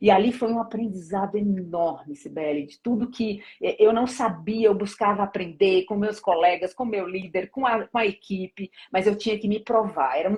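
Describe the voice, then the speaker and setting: The voice sounds somewhat breathy, with ordinary pitch variation. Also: woman. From Brazilian Northeast. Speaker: corporate HR director. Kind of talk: interview. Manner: fast.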